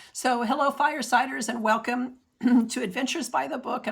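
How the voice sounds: This is a put-on character voice with a raspy edge. It moves at a fairly quick pace with fairly even intonation. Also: woman, high pitch for a woman.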